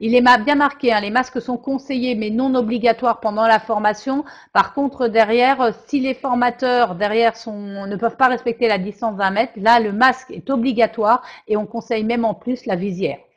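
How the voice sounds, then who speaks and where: Against a quiet background, a woman speaks at a moderate pace in a fairly high pitch, her intonation fairly even but her loudness swinging widely. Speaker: training consultant, webinar presenter. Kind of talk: webinar presentation. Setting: online virtual class. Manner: hesitant, with fillers and repetitions.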